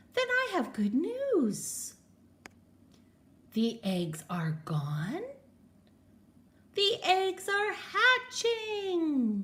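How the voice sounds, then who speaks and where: A woman's put-on character voice, extremely high in pitch, at a very slow pace with long, frequent pauses. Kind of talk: bedtime story. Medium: read story. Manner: calm, upbeat.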